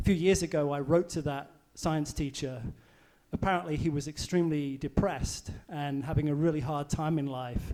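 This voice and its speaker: Delivered at a moderate pace with fairly even intonation, this voice has a dark, mellow tone and an English accent. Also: man, fairly high pitch for a man. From England. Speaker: volcano seismologist. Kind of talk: public science talk. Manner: hesitant, many fillers.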